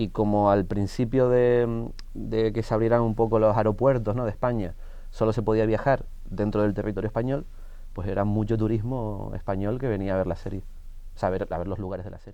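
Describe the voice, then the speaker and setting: Fairly low-pitched male voice with a dark, mellow tone, fairly even intonation and a fairly quick pace, plus audible room echo. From Canary Islands. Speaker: actor. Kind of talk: interview.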